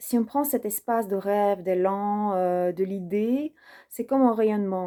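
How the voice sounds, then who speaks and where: Very slowly, a woman with a non-native accent speaks in a dark, mellow tone with ordinary pitch variation. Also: very clean recording, silent background. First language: not French (speaking French). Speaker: personal development video creator. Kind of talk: personal reflective monologue. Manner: hesitant, many fillers.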